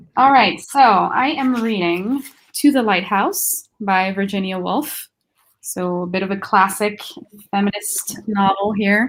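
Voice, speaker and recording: Speaking at a fairly slow pace with a non-native accent, the woman uses a medium pitch with ordinary variation. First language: not English. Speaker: book reader guest. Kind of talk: casual chat.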